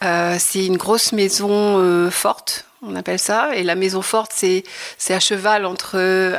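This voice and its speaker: At a very slow pace, a woman speaks at a medium pitch in a monotone, flat way. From Normandy, Le Havre. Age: 60s. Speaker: retired textile artist. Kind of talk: interview. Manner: hesitant, many fillers.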